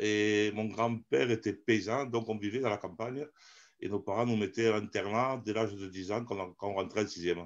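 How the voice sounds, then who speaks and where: With a southern French accent, a man of medium pitch speaks at a moderate pace with ordinary pitch variation over a quiet background. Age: 50s. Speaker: amateur theatre actor. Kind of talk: interview. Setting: live stream. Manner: animated.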